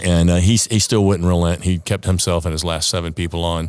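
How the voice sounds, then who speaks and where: The recording is very clean with a silent background. A speaker with an American accent talks at a fairly quick pace in a monotone, flat intonation. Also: man. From US South, Savannah, Georgia. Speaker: retired Coast Guard helicopter pilot. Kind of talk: storytelling interview. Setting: on location at an aviation association venue.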